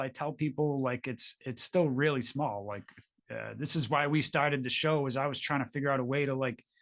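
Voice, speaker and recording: A man with a normal speaking voice, fairly high pitch and moderate pace, against a quiet background. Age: 40s. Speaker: podcast host. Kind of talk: casual interview chat.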